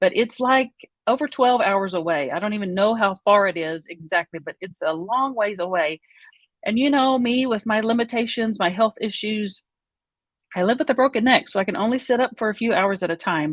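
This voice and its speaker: A woman speaks with an Oklahoma accent and a lively, bouncing intonation. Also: fairly high pitch for a woman. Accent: Oklahoma southern US. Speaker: vlogger. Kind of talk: personal storytelling. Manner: conversational, hesitant with fillers.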